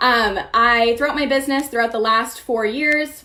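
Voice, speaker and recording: Noticeable background noise behind a woman speaking at a moderate pace with a fairly high pitch. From Maine. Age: 20s. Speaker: fitness coach. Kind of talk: training webinar.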